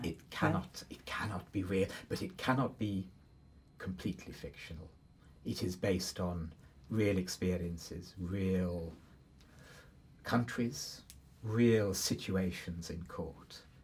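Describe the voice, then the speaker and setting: Somewhat breathy and very deep in pitch, a man speaks at a very slow pace with long, frequent pauses and ordinary pitch variation. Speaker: university professor, Egyptologist. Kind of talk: expert discussion.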